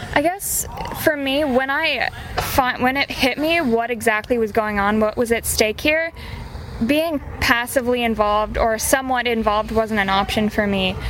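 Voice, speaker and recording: In an American accent, a woman talks at a moderate pace with fairly high pitch and ordinary pitch variation. Her loudness stays very even over noticeable background noise. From US Midwest. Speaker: feminist activist. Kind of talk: interview. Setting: at a live event. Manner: halting.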